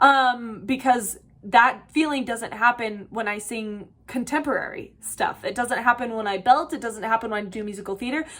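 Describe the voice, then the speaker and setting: At a moderate pace, a woman with a fairly high pitch speaks with ordinary pitch variation and big swings in loudness. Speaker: podcast host and voice teacher. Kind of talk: casual podcast monologue. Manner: casual with many fillers.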